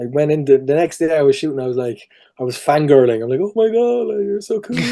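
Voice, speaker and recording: Speaking at a very fast pace with very wide pitch swings, a man with a fairly high pitch talks in a Cork accent. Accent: Cork Irish. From Ireland, Cork. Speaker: voice and performance capture actor. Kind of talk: casual interview chat.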